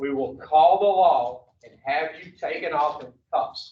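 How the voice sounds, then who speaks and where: Speaking at a very slow pace with a Louisiana accent, the voice shows ordinary pitch variation. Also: man. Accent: Louisiana Southern. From US South, Baton Rouge, Louisiana. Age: 60s. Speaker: addiction recovery counselor. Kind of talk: recovery education talk to treatment group. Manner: animated.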